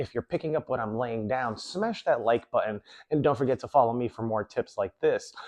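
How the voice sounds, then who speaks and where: A normal speaking voice moves at a fairly quick pace. Its pitch variation is ordinary. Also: man, medium pitch for a man. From New York City. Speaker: self-improvement coach. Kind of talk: motivational talk.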